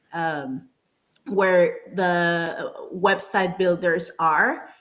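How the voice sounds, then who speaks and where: With a Spanish accent, a woman talks at a very slow pace, her medium pitch showing ordinary variation. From Panama. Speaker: app founder. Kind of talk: podcast interview. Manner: halting, many repeated words.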